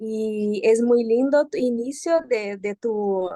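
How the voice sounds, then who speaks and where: A woman is speaking. She has a Brazilian accent. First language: Portuguese (speaking Spanish). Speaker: psychoanalyst, seminar participant. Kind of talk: seminar discussion.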